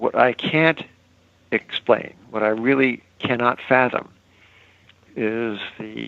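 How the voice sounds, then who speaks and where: This man's voice sits at a medium pitch and carries vocal fry. His intonation is fairly even. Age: 70s. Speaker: financial newsletter editor. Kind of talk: podcast interview. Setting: phone call. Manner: halting.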